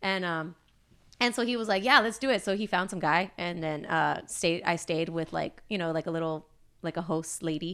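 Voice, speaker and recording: On a very clean recording with a silent background, a woman with a Southern California accent speaks at a moderate pace in a bright, sharp tone, her fairly low pitch showing ordinary variation. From Los Angeles area, US. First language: Spanish. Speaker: illustrator and band singer. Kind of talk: casual interview chat. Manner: casual, many fillers.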